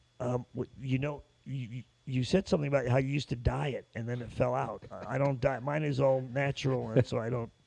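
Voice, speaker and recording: Medium in pitch, a man with an American accent has an unremarkable speaking voice. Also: fairly even intonation, fairly quick pace. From New York (Brooklyn, Long Island). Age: 60s. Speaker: ticket business owner. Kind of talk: casual interview chat.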